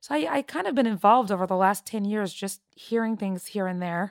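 Speaking at a fairly quick pace with fairly even intonation, a woman in a plain, everyday voice has a Canadian accent, the sound dry and close with no echo. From Toronto, Canada. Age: 30s. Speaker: gestational surrogate. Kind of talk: interview testimony.

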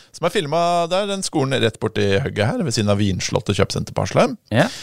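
A man at a very fast pace with very wide pitch swings, in a very clean recording with a silent background. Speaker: tech podcast host. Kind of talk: casual chat.

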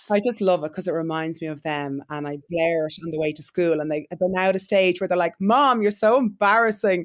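Speaking at a fairly quick pace with an Irish accent, a woman uses a fairly low pitch with ordinary variation. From Ireland. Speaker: entrepreneur and influencer. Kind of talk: interview.

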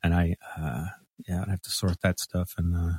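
A man's very deep, low voice with an American accent, somewhat breathy, at a moderate pace, dry and close with no echo, on a very clean recording over a silent background. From US South, Mississippi. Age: 40s. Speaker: musician. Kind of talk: casual chat. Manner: halting.

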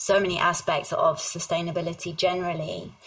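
A woman speaks in a southern English accent. Her pace is moderate and her pitch medium. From southern England. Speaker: HR executive. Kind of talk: interview.

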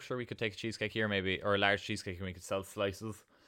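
A man's fairly low voice in a Cork accent, bright and sharp in tone, with monotone, flat intonation at a very fast pace. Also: very clean recording, silent background. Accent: Cork Irish. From Ireland, north-west County Cork near Kerry border. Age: 20s. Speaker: small food business owner and teacher. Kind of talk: interview.

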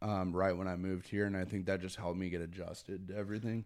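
With an unremarkable speaking voice, a man talks fairly low in pitch and with fairly even intonation, the recording very clean and the background silent. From Connecticut. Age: 20s. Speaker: music event promoter and booking agent. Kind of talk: casual chat.

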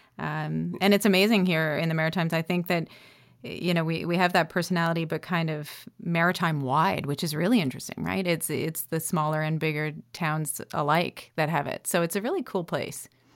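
Delivered at a fairly quick pace in a Canadian accent, an ordinary speaking voice comes through on a very clean recording with a silent background. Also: woman, fairly low pitch for a woman. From Northern Ontario, Canada (North Bay). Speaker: tech entrepreneur and former Olympian. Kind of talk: interview conversation.

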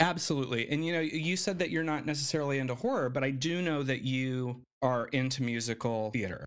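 With an American accent, a man in an ordinary speaking voice talks at a fairly quick pace with hardly any pauses, a medium pitch and ordinary pitch variation. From Arizona, Navajo reservation area. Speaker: filmmaker and writer. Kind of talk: casual interview.

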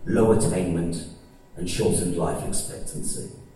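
A man talks over noticeable background noise. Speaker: musician. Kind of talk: public speech. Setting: stage with audience. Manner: natural orator.

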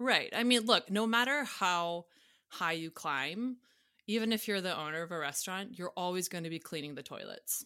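Lively intonation colors this woman's speech. She has an American accent and a bright, sharp tone. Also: medium pitch for a woman, moderate pace. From US South, Atlanta, Georgia. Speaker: sommelier. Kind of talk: casual chat.

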